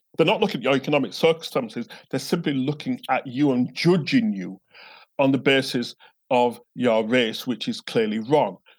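This man speaks with a Yorkshire accent. His intonation is lively. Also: medium pitch for a man, moderate pace. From northern England, Bradford. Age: 50s. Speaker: theologian and professor. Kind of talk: interview. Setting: at home, remote call.

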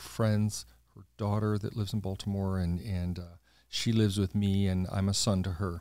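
An unremarkable speaking voice delivers the words with fairly even intonation. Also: man. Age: 60s. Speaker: podcast host. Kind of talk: casual conversational interview.

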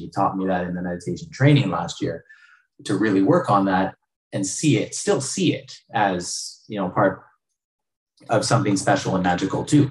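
Here a man speaks at a fairly low pitch and a moderate pace. His voice is somewhat breathy, with lively intonation. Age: 40s. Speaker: podcast host and parent. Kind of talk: casual interview chat. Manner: animated.

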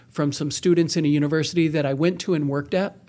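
Here a man talks at a very fast pace in an American accent. His pitch is fairly high and his intonation monotone and flat. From Wisconsin, US. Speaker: nonprofit executive director. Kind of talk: casual interview.

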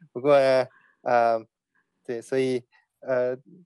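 Speaking very slowly, a man keeps a medium pitch. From born in China, raised overseas from age 9. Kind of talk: personal testimony interview. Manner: halting, many fillers.

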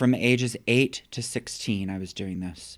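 A man's normal speaking voice at medium pitch, with an American accent and ordinary pitch variation, in a very clean recording over a silent background. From US, factory town. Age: 50s. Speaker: poet. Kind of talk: interview. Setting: empty office.

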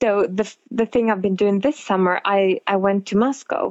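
A woman talks in a Norwegian accent. Her pitch is medium and her pace moderate. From northern Norway. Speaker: model and costume designer. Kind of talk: interview conversation. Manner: hesitant with fillers.

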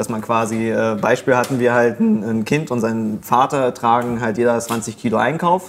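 A man's normal speaking voice, medium in pitch, at a moderate pace with ordinary pitch variation and hardly any pauses. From Germany. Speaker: comedian. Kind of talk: casual discussion.

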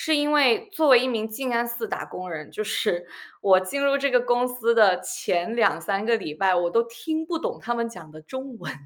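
A woman speaks at a moderate pace in a plain, everyday voice, her fairly high pitch carried by lively intonation. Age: 20s. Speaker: former colleague, blogger. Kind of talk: casual chat.

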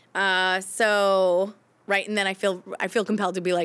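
A plain, everyday voice from a woman, medium in pitch, with an American accent and a fairly slow pace. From Maine, US. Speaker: comedian. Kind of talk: casual interview. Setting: improv theater.

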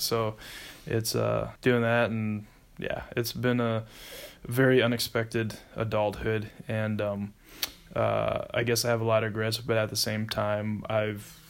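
A man speaks with an American accent. His medium-pitched voice stays flat and monotone. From US Midwest, South Dakota. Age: 40s. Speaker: navy veteran and traveler. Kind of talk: casual interview.

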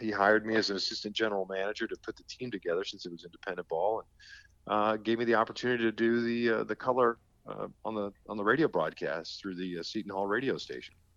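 This man has a fairly low pitch, a fairly even intonation and a plain, everyday voice. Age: 50s. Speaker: baseball play-by-play broadcaster. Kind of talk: podcast interview. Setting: remote call.

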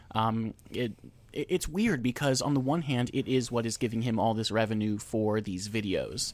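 A man with an American accent speaks at a moderate pace in a medium pitch with ordinary pitch variation, an unremarkable speaking voice. The recording is very clean, with a silent background. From New Jersey. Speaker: podcast co-host. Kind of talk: casual chat.

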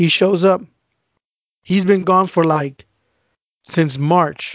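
Speaking at a very slow pace, a man with a high voice uses ordinary pitch variation. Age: 30s. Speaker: podcast co-host. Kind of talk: casual chat.

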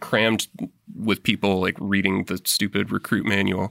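Man with an American accent, a fairly low pitch, ordinary pitch variation, vocal fry and a bright, sharp tone, on a very clean recording with a silent background and a dry, close sound with no echo. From US West Coast. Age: 30s. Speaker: Navy veteran, aerial mapmaker. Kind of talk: casual interview. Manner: halting, many fillers.

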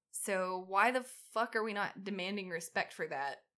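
Ordinary pitch variation runs through a woman's bright, sharp tone. The recording is very clean, with a silent background. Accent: Southern US. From US South. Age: 30s. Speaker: podcast co-host. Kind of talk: casual chat. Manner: animated.

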